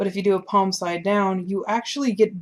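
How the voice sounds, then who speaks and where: With an ordinary speaking voice, a woman talks at a moderate pace in a medium pitch and fairly even intonation. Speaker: art tutorial creator. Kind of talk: tutorial. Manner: casual.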